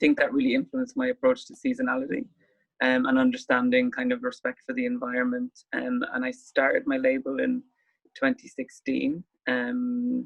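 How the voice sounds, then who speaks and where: A man with a Wexford Irish accent, talking at a fairly quick clip. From Ireland, rural Wexford. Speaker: fashion designer. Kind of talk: panel discussion. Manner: hesitant, many fillers.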